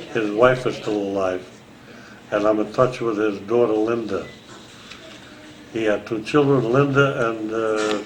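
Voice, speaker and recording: A man with an American accent and a fairly low pitch, speaking at a fairly slow pace with fairly even intonation and long, frequent pauses, amid audible room echo and noticeable background noise. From Transylvania (Romania/Hungary), then New York from age 10. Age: 80s+. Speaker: family elder interviewee. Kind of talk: oral history interview. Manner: halting.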